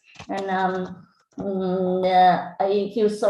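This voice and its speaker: A woman with a dark, mellow tone speaks amid audible room echo. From Vietnam. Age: 40s. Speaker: English teacher. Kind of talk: presentation. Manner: halting, many fillers.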